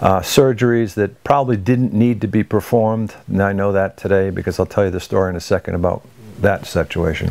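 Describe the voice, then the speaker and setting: The recording is very clean, with a silent background. A man speaks fairly quickly in a fairly low pitch with ordinary pitch variation. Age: 60s. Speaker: health program client. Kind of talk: testimony. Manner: hesitant, many fillers.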